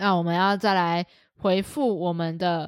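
This is a very clean recording of a woman speaking against a silent background. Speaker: dog behavior trainer and podcast co-host. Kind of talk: casual chat. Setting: studio.

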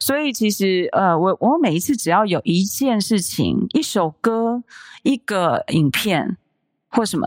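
A woman's fairly high, fairly slow voice with very wide pitch swings, dry and close with no echo, in a very clean recording with a silent background. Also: very even loudness. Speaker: podcast host, mother and entrepreneur. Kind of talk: casual chat.

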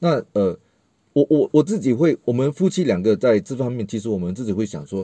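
Speaking at a fairly quick pace with a Malaysian accent, a man uses very wide pitch swings in a dark, mellow tone, recorded with a dry, close sound and no echo against a quiet background. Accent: Malaysian Mandarin, noticeable. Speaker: multimedia worker and parent. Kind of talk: casual chat.

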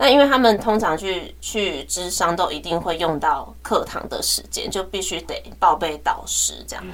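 Over noticeable background noise and audible room echo, a woman talks at a fairly slow pace. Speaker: teacher and podcast co-host. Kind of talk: casual chat.

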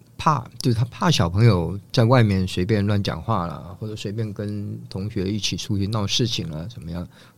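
An unremarkable speaking voice moves at a moderate pace with hardly any pauses and ordinary pitch variation. The loudness swings widely. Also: man, fairly low pitch for a man. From Taiwan, family from northeast China. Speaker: design professor. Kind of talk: casual interview.

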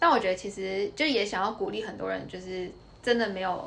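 A woman in a Taiwanese accent talks at a medium pitch and fairly quick pace, with audible room echo and noticeable background noise. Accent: Taiwanese Mandarin. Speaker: university student, former corporate employee. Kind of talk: casual interview chat.

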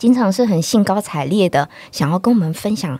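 With a Taiwanese accent, a woman speaks at a moderate pace in a dark, mellow tone with lively intonation. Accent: Taiwanese Mandarin. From northern Taiwan. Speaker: children's book author and reading promoter. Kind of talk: interview.

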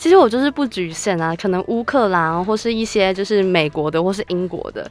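A woman at a medium pitch talks with lively intonation. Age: 20s. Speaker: university student and radio intern. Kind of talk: casual chat.

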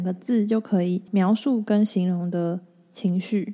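Her tone is dark and mellow as a woman speaks fairly slowly at medium pitch with fairly even intonation. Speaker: podcast host and hypnotherapist. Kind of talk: solo podcast talk. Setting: home recording. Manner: steady, even rhythm.

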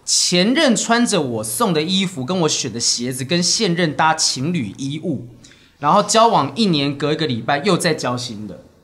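A man's fairly high pitch with very wide pitch swings, at a moderate pace. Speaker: stand-up comedian and podcast co-host. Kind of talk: casual chat.

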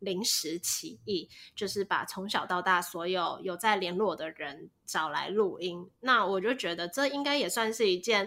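A woman's bright, sharp tone carries lively intonation. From Taiwan. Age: 20s. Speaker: podcast host. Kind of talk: casual chat.

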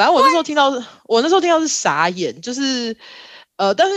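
The background is silent and the recording very clean. Her voice, a woman's, has a bright, sharp tone. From Taiwan, Kaohsiung. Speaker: architect. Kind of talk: casual interview chat.

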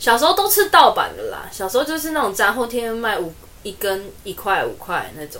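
A woman talks at a high pitch and a fairly quick pace, with very wide pitch swings and big swings in loudness. Noticeable background noise is present. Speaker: podcast co-host. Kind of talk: casual chat.

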